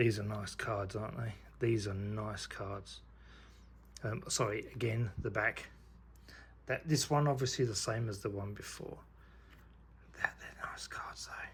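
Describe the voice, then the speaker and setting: A man speaks at a fairly slow pace with long, frequent pauses. His fairly low, somewhat breathy voice shows ordinary pitch variation. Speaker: YouTuber unboxing trading cards. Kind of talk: casual unboxing commentary. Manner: quiet, half-whispering; animated, enthusiastic.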